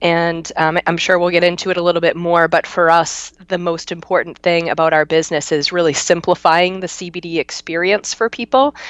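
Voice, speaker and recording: A woman with an unremarkable speaking voice talks at a fairly quick pace and a fairly low pitch, with hardly any pauses. Her intonation is fairly even, and the sound is dry and close with no echo. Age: 30s. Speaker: CBD business owner. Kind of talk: interview.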